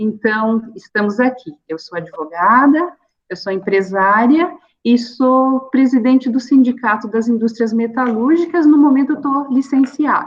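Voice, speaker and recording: The delivery is fairly slow, and the intonation is lively. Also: woman, high pitch for a woman. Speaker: labor lawyer and business owner. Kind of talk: online seminar talk. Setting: online video meetup.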